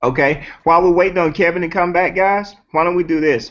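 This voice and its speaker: With a Southern accent, a man speaks at a fairly high pitch. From US South. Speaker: network marketing host. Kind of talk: casual chat. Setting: video call.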